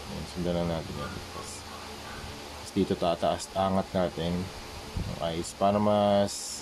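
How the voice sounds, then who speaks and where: A man's very deep, low voice in a monotone, flat delivery, with long, frequent pauses and noticeable background noise. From Philippines, Manila. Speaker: visual artist, toy customizer. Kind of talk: tutorial. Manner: casual, halting with fillers.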